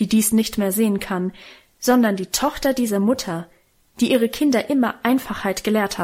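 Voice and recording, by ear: Reading aloud in a natural voice, with ordinary rises and falls in pitch.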